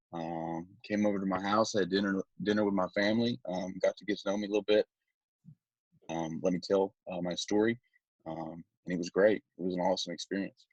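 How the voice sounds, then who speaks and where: A man with a Southern US accent and fairly low pitch speaks at a fairly quick pace, with fairly even intonation and big swings in loudness. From Alabama. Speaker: sports recruiting social media commentator. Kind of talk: podcast interview. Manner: hesitant, many fillers.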